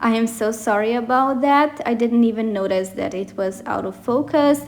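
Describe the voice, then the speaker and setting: A woman with a non-native accent, over noticeable background noise. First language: not English. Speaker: bullet journal youtuber. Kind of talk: voiceover narration of a plan-with-me video. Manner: rambling, casual.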